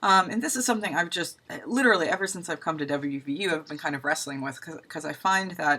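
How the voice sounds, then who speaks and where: A woman with a bright, sharp tone, a fairly quick pace and ordinary pitch variation, on a very clean recording with a silent background. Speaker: university instructor. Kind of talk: lecture. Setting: recorded video. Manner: fast; casual.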